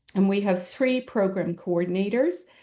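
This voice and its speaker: With a slight Irish accent, a woman speaks at medium pitch and a moderate pace, her tone dark and mellow against a quiet background. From Ireland. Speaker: special education administrator. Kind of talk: presentation to parents.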